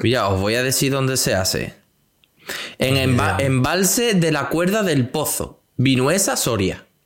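Delivered at a fairly slow pace, the speech has lively intonation and very even loudness. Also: man, medium pitch for a man. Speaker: motorcycle podcast co-host. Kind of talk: casual chat.

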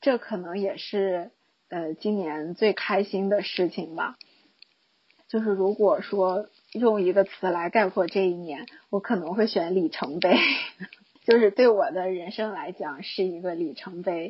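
A woman talks in an ordinary speaking voice. Her pace is fairly slow. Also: medium pitch for a woman, ordinary pitch variation. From Guangshan, Henan, China. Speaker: high school teacher. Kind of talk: recorded personal year-end monologue.

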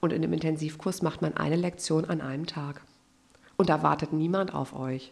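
Using vocal fry, a woman talks at a moderate pace in a very deep, low voice. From Germany, Westphalia (Unna). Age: 30s. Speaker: pastor, church recruitment officer. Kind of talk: casual podcast interview. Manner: animated.

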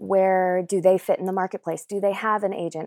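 A woman speaks in a plain, everyday voice at a medium pitch, with an American accent and fairly even intonation. The recording is very clean with a silent background and a dry, close sound free of echo. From North Carolina, US South. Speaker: voice actor. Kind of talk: casual interview chat.

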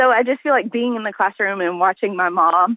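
Lively intonation marks this woman's speech, delivered with a Southern US accent. She talks at a fairly quick pace. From US South, Arkansas. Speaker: teacher. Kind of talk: interview. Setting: phone call.

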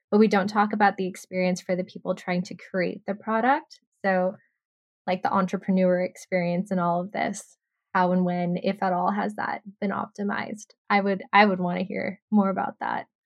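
A woman's medium-pitched voice with an American accent, a plain, everyday voice at a moderate pace with fairly even intonation. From Texas. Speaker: podcast co-host. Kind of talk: casual chat.

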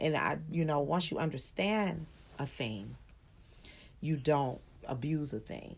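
At a fairly slow pace with long, frequent pauses, a woman with a very deep, low pitch speaks in an animated, playful tone, with lively intonation and vocal fry. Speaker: podcast co-host, mother. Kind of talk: casual chat.

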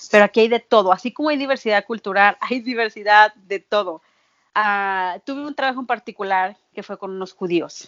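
A normal speaking voice from a woman, medium in pitch, at a fairly quick pace with ordinary pitch variation. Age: 30s. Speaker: nanny. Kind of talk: interview.

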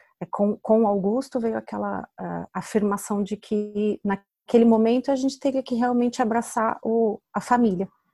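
Recorded very cleanly, with a silent background and a dry, close sound with no echo, the voice has a dark, mellow tone, fairly even intonation, and a fairly slow pace. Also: woman. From Brazil. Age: 30s. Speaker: mother sharing her story. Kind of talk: interview, personal testimony.

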